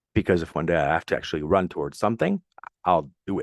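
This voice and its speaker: In a French Canadian accent, a man with a very deep, low pitch and ordinary pitch variation is heard in a dry, close recording with no echo. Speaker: podcast host, military veteran. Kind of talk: solo motivational podcast. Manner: casual, conversational.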